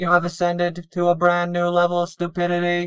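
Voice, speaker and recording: A put-on character voice at a middle pitch moves at a fairly quick pace with a monotone, flat intonation. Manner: deadpan, sarcastic.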